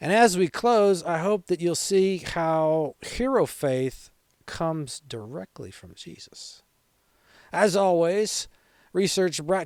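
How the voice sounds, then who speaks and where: A man is speaking. His pace is very slow. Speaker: Bible teaching podcast host. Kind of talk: Bible teaching monologue. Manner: casual, conversational.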